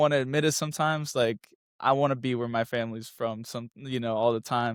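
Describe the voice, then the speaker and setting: A man talks at a very fast pace with fairly even intonation. The sound is dry and close with no echo, on a very clean recording with a silent background. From US South, moved around. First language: Spanish. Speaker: architecture student, former track athlete. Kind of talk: casual interview. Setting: podcast.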